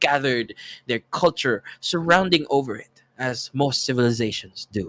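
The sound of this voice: A man speaks at a fairly slow pace with ordinary pitch variation. His tone is fairly bright.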